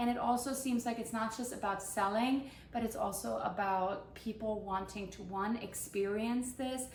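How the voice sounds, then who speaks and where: With hardly any pauses, a woman speaks at a fairly high pitch and fairly even intonation, amid audible room echo and noticeable background noise. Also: moderate pace. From Germany, moved to US at fourteen. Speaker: baker and baking instructor. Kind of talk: casual introduction vlog.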